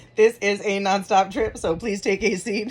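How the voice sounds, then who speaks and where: Someone does a put-on character voice that is raspy and fairly high, delivered at a moderate pace. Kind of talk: computer announcement. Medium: read story. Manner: flat, formal.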